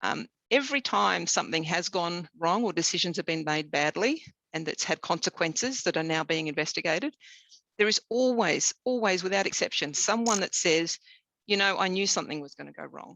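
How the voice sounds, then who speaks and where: With an Australian accent, a woman speaks at a fairly quick pace and fairly low pitch, her tone bright and sharp, her intonation lively, in a dry, close sound with no echo. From southern Tasmania, Australia. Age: 50s. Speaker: engineer. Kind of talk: interview. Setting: webinar. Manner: halting, many fillers.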